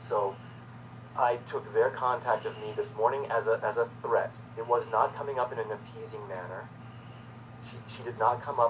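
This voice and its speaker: A man talks in a monotone, flat intonation with long, frequent pauses. His loudness swings widely over noticeable background noise. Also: medium pitch for a man, moderate pace. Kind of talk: personal video message. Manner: halting, repeats words; agitated.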